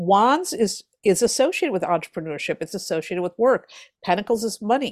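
An unremarkable speaking voice, a woman's at medium pitch, moves at a fairly quick pace with ordinary pitch variation in a very clean recording with a silent background and a dry, close sound with no echo. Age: 50s. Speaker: tarot reader and author. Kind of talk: interview.

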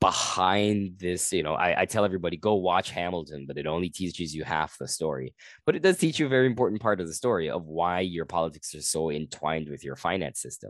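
A man with a very deep, low pitch at a very fast pace, quiet background. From Guyana. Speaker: comedian. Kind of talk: casual chat.

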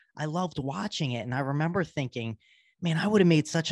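Recorded with a dry, close sound and no echo, a man uses an ordinary speaking voice at a fairly quick pace with ordinary pitch variation. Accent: American. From US, Baltimore, Maryland. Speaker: psychiatrist. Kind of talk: interview conversation. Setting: video call.

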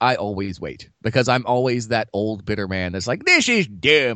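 A man talks in a plain, everyday voice. His pace is moderate and his pitch variation ordinary. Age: 30s. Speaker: podcast co-host. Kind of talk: casual chat. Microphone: cheap mic bought at a closing-down sale.

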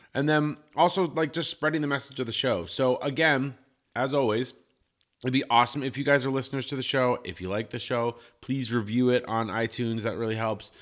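A man speaks in an ordinary speaking voice at a medium pitch, fairly quickly and with ordinary pitch variation. The recording is very clean, with a silent background. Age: 30s. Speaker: podcast co-host. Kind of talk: casual chat. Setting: home studio.

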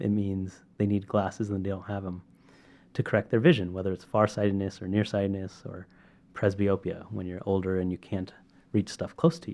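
Speech comes at a fairly quick pace in a Californian accent, with fairly even intonation. Loudness swings widely. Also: man, fairly low pitch for a man. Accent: Californian American. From California, Sacramento. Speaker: medical device entrepreneur. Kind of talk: interview. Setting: in person at a university.

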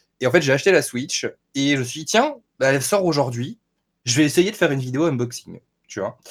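Delivered at a fairly quick pace with ordinary pitch variation and long, frequent pauses, the speech sits in a very clean recording with a silent background. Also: man, fairly high pitch for a man. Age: 20s. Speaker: gaming YouTuber and Twitch streamer. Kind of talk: casual interview.

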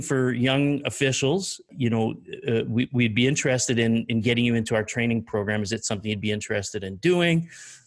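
A man with an ordinary speaking voice and ordinary pitch variation is heard on a very clean recording with a silent background. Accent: Canadian. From eastern Canada. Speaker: storm chaser and photographer. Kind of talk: casual interview, storytelling. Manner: relaxed, laughs often.

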